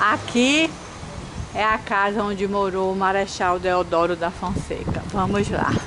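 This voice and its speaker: Over noticeable background noise, a woman talks at a fairly slow pace with ordinary pitch variation and very even loudness. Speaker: travel vlogger. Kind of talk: vlog narration. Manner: speaking quietly. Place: street. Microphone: phone near.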